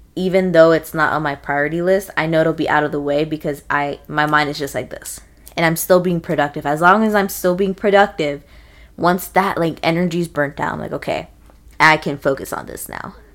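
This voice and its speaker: A woman with an ordinary speaking voice talks at a moderate pace. Her pitch is fairly low and her intonation fairly even. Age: 20s. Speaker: podcast co-host. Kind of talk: casual chat.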